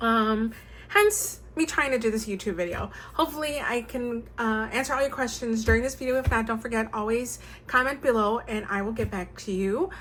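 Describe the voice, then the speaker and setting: This woman's pitch is fairly high. She has a plain, everyday voice. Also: ordinary pitch variation, fairly quick pace. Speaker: stationery YouTuber. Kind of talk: show-and-tell tutorial. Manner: casual with many fillers.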